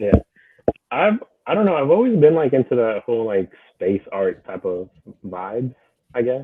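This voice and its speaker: A man talks at a moderate pace in a Spanish accent. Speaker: digital artist. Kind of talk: casual chat. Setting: live stream.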